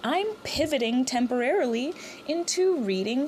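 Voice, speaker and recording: A woman's high-pitched voice comes through clear background noise. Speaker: Reddit story reader. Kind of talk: casual talk to camera.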